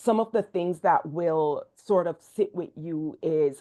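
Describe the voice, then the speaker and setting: Against a quiet background, a woman with a fairly low pitch and a dark, mellow tone speaks with fairly even intonation. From Jamaica. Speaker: education dean and researcher. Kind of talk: research presentation.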